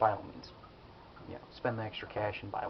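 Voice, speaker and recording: A soft-spoken man talks over noticeable background noise. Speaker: kitchen knife enthusiast. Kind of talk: casual product review talk to camera.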